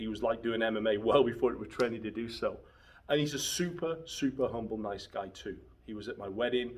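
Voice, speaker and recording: Talking at a fairly quick pace, a man uses an unremarkable speaking voice with ordinary pitch variation. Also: medium pitch for a man. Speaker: martial arts instructor. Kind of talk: casual talk to camera.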